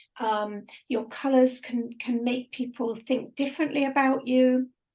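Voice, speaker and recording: A woman with a high pitch talks at a fairly slow pace in a monotone, flat intonation. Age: 60s. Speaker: radio presenter. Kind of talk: casual chat.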